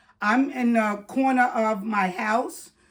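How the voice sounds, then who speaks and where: A woman is speaking. Her voice is loud. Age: 60s. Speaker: retired YouTuber giving advice. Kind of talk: casual talk to camera. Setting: at home, corner of house.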